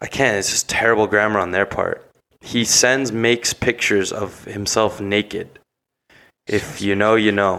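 In a very clean recording with a silent background, a man with a fairly low pitch speaks at a moderate pace in a bright, sharp tone with monotone, flat intonation. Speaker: podcast co-host. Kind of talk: casual chat.

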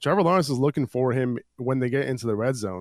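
A man speaks fairly quickly at a medium pitch with ordinary pitch variation, in a normal speaking voice. The sound is dry and close, with no echo. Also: very clean recording, silent background. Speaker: fantasy football podcast host. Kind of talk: sports betting discussion. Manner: casual, many fillers.

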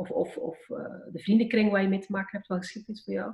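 A somewhat breathy woman's voice. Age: 40s. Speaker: podcast guest. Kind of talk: reflective interview.

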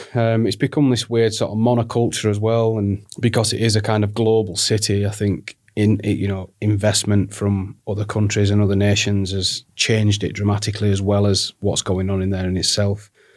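Delivered in a northern English accent, the speech comes at a fairly quick pace with hardly any pauses and monotone, flat intonation. The recording is very clean, with a silent background. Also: man, fairly low pitch for a man. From northern England, Barnsley, South Yorkshire. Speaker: creative director and design studio founder. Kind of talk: casual chat.

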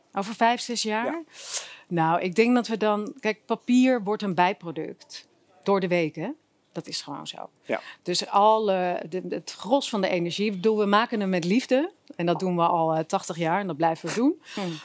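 Talking at a moderate pace, a woman has medium pitch, lively intonation and an unremarkable speaking voice. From Zeeland, Netherlands. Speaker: newspaper editor-in-chief. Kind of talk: casual interview.

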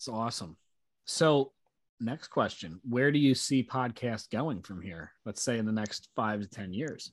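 At a fairly slow pace, a normal speaking voice moves through big swings in loudness over a quiet background. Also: man, medium pitch for a man, lively intonation. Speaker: sales podcast host. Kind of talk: casual interview chat. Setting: video call. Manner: upbeat, relaxed.

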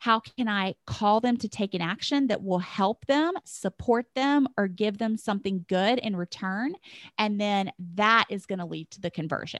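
In a plain, everyday voice, a woman speaks at a moderate pace with ordinary pitch variation, the sound dry and close with no echo on a very clean recording with a silent background. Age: 40s. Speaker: business coach. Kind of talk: casual chat.

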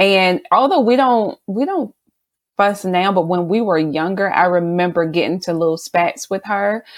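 This woman has an ordinary speaking voice, medium in pitch with ordinary variation, at a moderate pace. The recording is very clean, with a silent background. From South Carolina. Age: 30s. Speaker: business owner. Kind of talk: casual interview.

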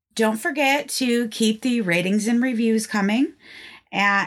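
Speaking at a fairly slow pace with ordinary pitch variation, a woman has a fairly high pitch and an unremarkable speaking voice, captured in a very clean recording with a silent background. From northeastern Pennsylvania. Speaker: podcast host. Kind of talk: scripted storytelling podcast narration, casual.

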